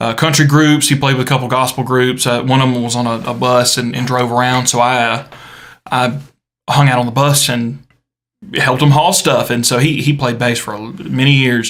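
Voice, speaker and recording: With a Southern US accent, a man speaks in fairly even intonation. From US South, South Carolina. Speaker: podcast co-host, church guitarist. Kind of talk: casual chat. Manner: halting, many fillers.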